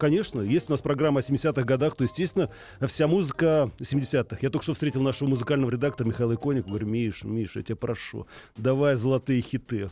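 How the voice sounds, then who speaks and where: At a very fast pace, a man talks in a medium pitch with a dark, mellow tone and ordinary pitch variation. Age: 40s. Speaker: radio host. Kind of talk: radio call-in show. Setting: studio.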